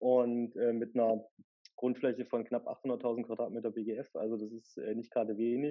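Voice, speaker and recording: The man speaks at a moderate pace and a medium pitch. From Erfurt, Thuringia, Germany. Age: 30s. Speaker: head of municipal property office. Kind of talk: podcast interview.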